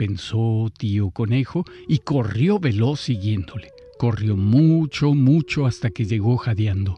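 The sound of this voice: An unforced reading voice is what comes through.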